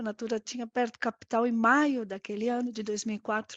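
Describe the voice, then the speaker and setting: A woman with an Argentine accent speaks at a fairly high pitch against a quiet background. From Argentina. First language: Spanish (speaking Portuguese). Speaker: corporate risk director. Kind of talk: live interview. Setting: live stream. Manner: halting, many fillers.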